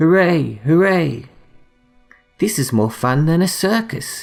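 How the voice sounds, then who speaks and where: Music plays in the background as a man speaks quietly in a calm tone. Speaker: bedtime story reader. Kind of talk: bedtime story reading. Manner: calm, quiet.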